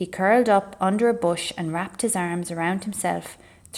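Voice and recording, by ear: Ordinary pitch variation in a passage read aloud in a natural voice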